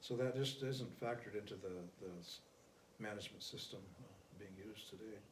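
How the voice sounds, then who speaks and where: A somewhat breathy man at a fairly low pitch, fairly quick in pace yet with long, frequent pauses and fairly even intonation, in a room with audible echo. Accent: American. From US Great Plains, Pine Ridge Reservation, South Dakota. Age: 70s. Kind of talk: interview. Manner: halting, many fillers.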